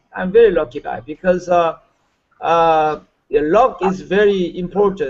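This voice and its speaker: A man with a Korean accent speaks at a fairly slow pace. His pitch is high and his intonation lively. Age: 60s. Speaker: network marketer. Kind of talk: webinar training talk. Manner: halting, many fillers; energetic.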